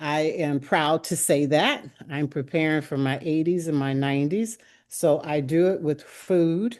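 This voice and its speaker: A woman's very deep, low voice at a fairly slow pace, with ordinary pitch variation and a quiet background. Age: 70s. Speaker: cooking class participant. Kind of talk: casual chat.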